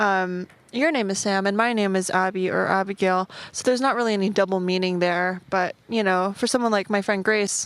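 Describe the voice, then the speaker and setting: The recording is very clean, with a silent background. A woman at medium pitch talks at a fairly quick pace with fairly even intonation. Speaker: podcast guest, also has own podcast. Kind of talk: casual chat. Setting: outdoors at a park, filmed.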